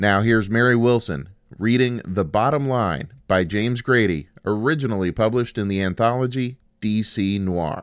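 On a very clean recording with a silent background, a man with a plain, everyday voice and a fairly low pitch talks at a moderate pace with ordinary pitch variation. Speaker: podcast host. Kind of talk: podcast intro and outro.

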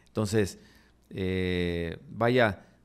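A man speaks against a quiet background. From Mexico, Nuevo Laredo (Tamaulipas); Tamaulipas, Mexico. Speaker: political candidate; candidate. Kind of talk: interview. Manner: halting, many repetitions. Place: studio. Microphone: studio mic.

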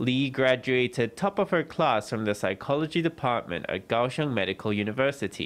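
Barely pausing, a man with an ordinary speaking voice talks with lively intonation. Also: medium pitch for a man, moderate pace. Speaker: news reporter. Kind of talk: news narration.

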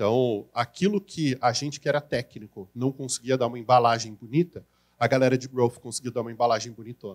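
The setting is quiet. A man talks at a fairly brisk rate. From Brazil. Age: 40s. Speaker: marketing consultant and educator; educator. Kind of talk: conference talk. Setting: stage with audience. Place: hall. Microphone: handheld.

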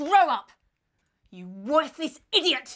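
A woman puts on a character voice with high pitch. She talks at a slow pace with big pitch swings.

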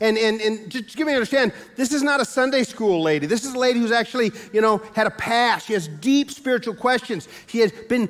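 A man speaks at a fairly quick pace in an extremely high pitch, with ordinary pitch variation. Faint music plays in the background. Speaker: pastor. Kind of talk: sermon. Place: church.

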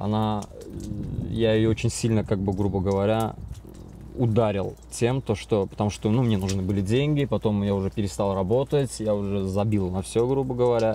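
With light background noise and a dry sound with no echo, a man speaks at a fairly low pitch and moderate pace with ordinary pitch variation and very even loudness. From Azerbaijan, Baku. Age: 30s. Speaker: recovering drug addict in rehab. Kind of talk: interview testimony. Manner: halting, filler-heavy. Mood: confessional, reflective. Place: home room.

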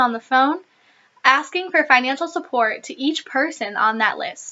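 A woman's high-pitched voice, its pitch varying in an ordinary way. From US Midwest, Michigan. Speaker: former mission trip intern and volunteer. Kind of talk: scripted informational talk. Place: home room. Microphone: webcam.

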